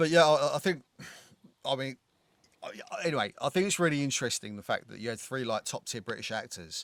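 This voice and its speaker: A man with a strong London accent talks at a fairly quick pace in a fairly high voice, with big swings in loudness and long, frequent pauses. The sound is dry and close, with no echo. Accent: thick London. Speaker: film podcast co-host. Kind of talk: casual chat. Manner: animated.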